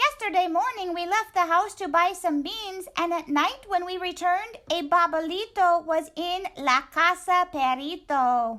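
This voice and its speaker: Hardly pausing at all, someone performs a put-on character voice at an extremely high pitch. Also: moderate pace. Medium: read story. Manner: casual, laid-back.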